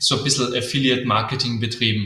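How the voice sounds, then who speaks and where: In a slight Austrian accent, a man talks at a medium pitch with fairly even intonation. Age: 20s. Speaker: agency founder. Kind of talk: interview. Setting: live video stream. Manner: many fillers (äh, ähm).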